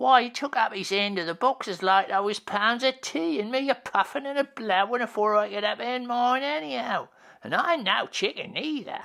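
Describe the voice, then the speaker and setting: This put-on character voice sits at a fairly high pitch. The pace is moderate. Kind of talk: rough dialect speech. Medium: read story. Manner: colloquial, rambling.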